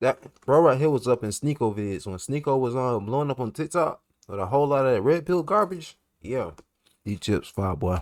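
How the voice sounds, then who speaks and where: At a fairly quick pace, a man speaks with lively intonation and a medium pitch. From US South, Carolinas. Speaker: reaction youtuber. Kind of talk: casual reaction commentary. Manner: casual, slangy.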